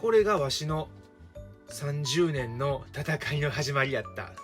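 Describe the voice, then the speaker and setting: A man with an Osaka accent, fairly high in pitch, relaxed in tone, with lively intonation and music in the background. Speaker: teacher. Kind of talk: casual storytelling to camera. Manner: relaxed, humorous.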